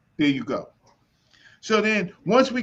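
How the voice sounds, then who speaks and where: An animated man's voice, high in pitch, at a fairly slow pace. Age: 60s. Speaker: elder discussing African history and reparations. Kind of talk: heated debate.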